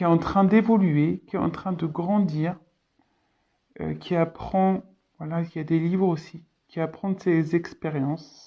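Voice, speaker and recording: A woman speaks at a fairly slow pace, with long, frequent pauses. Her tone is dark and mellow. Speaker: tarot card reader. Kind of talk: tarot reading. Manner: hesitant, many fillers.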